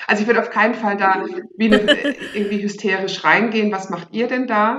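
Audible room echo surrounds a woman speaking in a medium pitch with fairly even intonation. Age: 40s. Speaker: teacher and sex education course leader. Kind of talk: interview, casual chat.

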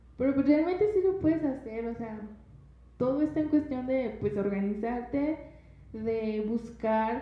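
There is audible room echo as a woman speaks. She talks at a very slow pace with ordinary pitch variation. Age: 20s. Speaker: university student and mother. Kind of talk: testimony.

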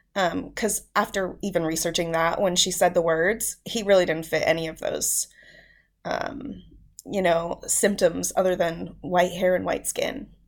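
Vocal fry marks the fairly low voice of a woman speaking at a fairly slow pace. Her pitch varies in an ordinary way on a very clean recording with a silent background. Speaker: parent of child with rare condition. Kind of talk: casual interview, personal story.

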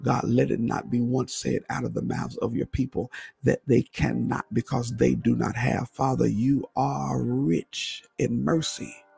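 A fairly slow man with hardly any pauses, a dry, close sound with no echo, and music in the background. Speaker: preacher and radio host. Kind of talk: fervent prayer, intercessory. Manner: impassioned, repetitive, urgent; exclaiming, praying aloud.

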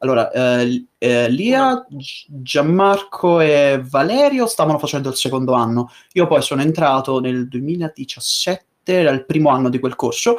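A man talks in an ordinary speaking voice at a fairly high pitch. His pace is fairly slow, and his pitch variation is ordinary. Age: 20s. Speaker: voice actor / YouTuber. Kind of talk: casual interview chat.

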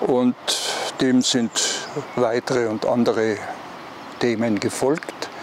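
Over noticeable background noise, a man with a medium pitch speaks very slowly and with fairly even intonation. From East Tyrol, Austria. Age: 80s+. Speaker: hiking guidebook author. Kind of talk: interview. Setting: outdoors by a pond.

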